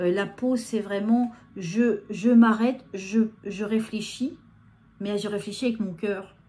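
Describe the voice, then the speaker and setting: Speaking very slowly, a woman has a fairly high, somewhat breathy voice with a dark, mellow tone and fairly even intonation. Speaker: medium giving channeled messages. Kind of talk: live channeled guidance talk to viewers. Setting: filmed on camera under video lights. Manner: hesitant, many fillers and repetitions.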